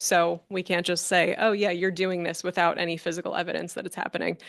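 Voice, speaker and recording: A woman speaking at a fairly quick pace. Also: dry, close sound with no echo. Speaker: stormwater engineer presenting to council. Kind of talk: presentation at council meeting. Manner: loud.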